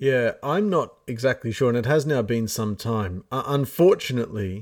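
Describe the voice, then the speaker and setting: With an Australian accent, a man of medium pitch and ordinary pitch variation speaks at a moderate pace in a very clean recording with a silent background. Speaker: podcast co-host. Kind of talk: casual discussion of a Bible study lesson.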